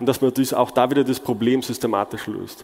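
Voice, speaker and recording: A man's moderate, fairly even delivery competes with noticeable background noise. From Germany. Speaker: conference speaker. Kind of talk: conference talk.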